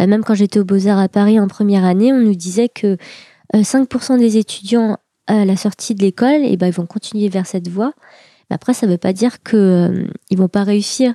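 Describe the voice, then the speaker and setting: A woman's dark, mellow voice at a fairly quick pace with ordinary pitch variation. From France, Seine-et-Marne. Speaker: artist. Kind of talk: interview.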